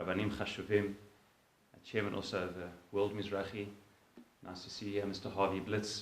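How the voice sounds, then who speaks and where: Audible echo fills the room around a man speaking. His pitch is fairly low and his pace very fast. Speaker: rabbi and organization director. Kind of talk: convention speech. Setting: synagogue hall with audience. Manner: formal.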